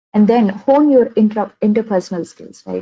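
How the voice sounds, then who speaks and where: A woman's somewhat breathy voice with a Telugu accent, at a moderate pace. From India, Andhra Pradesh (Vijayawada). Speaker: software engineer giving career talk. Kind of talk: webinar talk. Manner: many fillers and repetitions.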